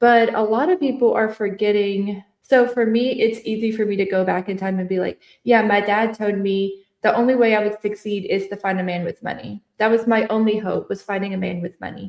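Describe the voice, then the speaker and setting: Using a normal speaking voice, a woman with a fairly high pitch talks at a fairly quick pace with hardly any pauses and fairly even intonation. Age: 30s. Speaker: trauma-informed speaker and coach. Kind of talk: casual interview conversation.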